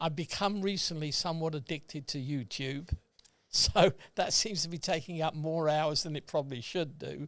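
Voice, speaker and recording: A man with a British accent talks at a moderate pace in a fairly high voice with ordinary pitch variation. The recording is very clean, with a silent background. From England. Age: 80s+. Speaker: retired accountant. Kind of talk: casual chat. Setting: podcast recording.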